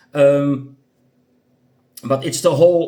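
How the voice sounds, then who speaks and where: A man's dark, mellow tone at a fairly slow pace. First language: not English. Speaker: gaming youtuber. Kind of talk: casual commentary. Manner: halting, many fillers.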